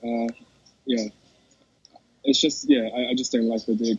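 A man talks with a New Zealand accent. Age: 20s. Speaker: esports champion. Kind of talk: interview. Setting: in a mall. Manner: halting.

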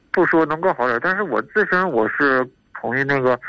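This man's fairly high voice has a bright, sharp tone and lively intonation. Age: 30s. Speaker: caller with leukemia. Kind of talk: call-in advice conversation. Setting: phone call. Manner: halting.

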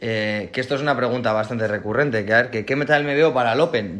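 Background noise is clearly audible throughout. The man's pitch varies in an ordinary way. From Spain. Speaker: CrossFit athlete. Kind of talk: casual interview chat.

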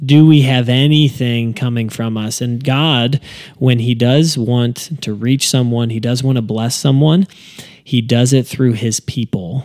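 A man with an unremarkable speaking voice talks at a fairly slow pace and medium pitch with fairly even intonation. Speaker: podcast host and church staff member. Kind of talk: casual interview chat.

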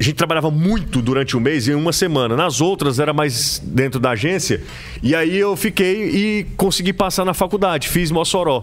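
With a Cearense accent, the speaker talks at a moderate pace with lively intonation and very even loudness while music plays in the background. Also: man, fairly high pitch for a man. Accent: Cearense Brazilian Portuguese. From Ceará, Brazil (Aracati / Majorlândia). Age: 30s. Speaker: sports journalist. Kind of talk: casual interview chat. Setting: studio.

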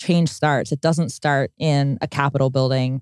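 A woman speaks at a moderate pace in a very clean recording with a silent background, the sound dry and close with no echo. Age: 20s. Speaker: podcast host. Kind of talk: scripted intro narration; casual interview conversation. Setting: in person.

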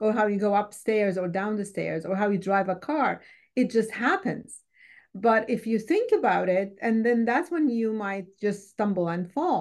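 Against a quiet background, a woman with an Arabic accent speaks at a moderate pace in a fairly high pitch with ordinary pitch variation. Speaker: war survivor and refugee. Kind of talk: interview testimony. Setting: video call.

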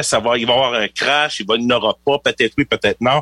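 The man's voice sits at a medium pitch with a bright, sharp tone. It sounds dry and close, with no echo. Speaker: financial planner. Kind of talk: radio interview.

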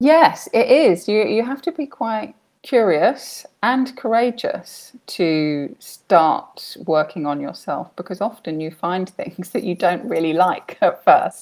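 Very slow yet with hardly any pauses, a woman with a British accent speaks at a fairly high pitch with very wide pitch swings, in a very clean recording with a silent background. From Britain. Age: 30s. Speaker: life coach. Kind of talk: interview.

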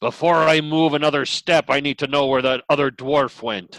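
This man puts on a character voice, pitched fairly high. His intonation stays fairly even and his pace is moderate. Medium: actual play. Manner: firm, insistent.

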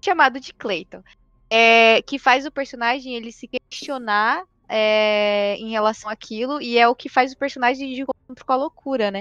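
A woman with a high pitch talks at a moderate pace with ordinary pitch variation and big swings in loudness, in a dry, close sound with no echo against a quiet background. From Brazil. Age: 20s. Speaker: podcast co-host. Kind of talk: casual chat.

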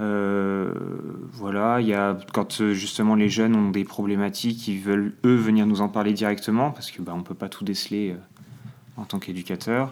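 Fairly low in pitch, this man speaks with monotone, flat intonation. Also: moderate pace. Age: 20s. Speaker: trainee special educator. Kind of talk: interview testimony. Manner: hesitant, many fillers.

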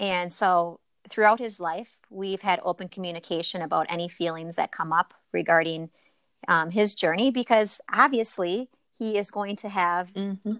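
Recorded very clean against a silent background, with a dry, close sound and no echo, a woman with an Upper Midwest accent speaks at a medium pitch and a moderate pace with ordinary pitch variation. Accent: Upper Midwest American. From Wisconsin. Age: 40s. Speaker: yoga teacher. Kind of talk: casual chat.

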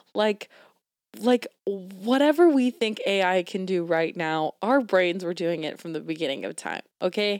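A woman speaks at medium pitch and a fairly slow pace with lively intonation. The sound is dry and close with no echo, in a very clean recording with a silent background. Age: 20s. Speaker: podcast host. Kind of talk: casual chat. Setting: home recording.

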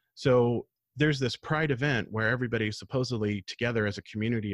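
Over a quiet background, a man with an unremarkable speaking voice talks at a fairly quick pace and medium pitch, with ordinary pitch variation and a dry, close sound with no echo. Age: 40s. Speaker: podcast host. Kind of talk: hosted panel discussion.

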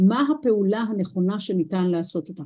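A woman speaks at a moderate pace in a somewhat breathy voice with a dark, mellow tone. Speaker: business lecturer. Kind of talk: lecture.

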